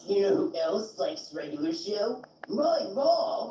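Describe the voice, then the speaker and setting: A man performs a put-on character voice at a high pitch, with very wide pitch swings. He goes at a fairly slow pace, and there is a slight echo. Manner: joking, caricatured.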